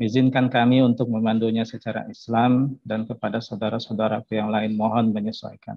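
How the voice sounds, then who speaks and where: Over a quiet background with dry sound and no echo, a man talks at a fairly quick pace in a medium pitch with monotone, flat intonation. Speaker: prayer leader. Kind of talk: prayer. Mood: solemn, reverent. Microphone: video call.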